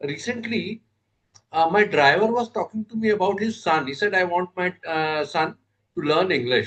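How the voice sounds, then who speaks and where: Speaking at a moderate pace with ordinary pitch variation, a man with an Indian accent has a high-pitched voice. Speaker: camera operator / organizer. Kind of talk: panel discussion.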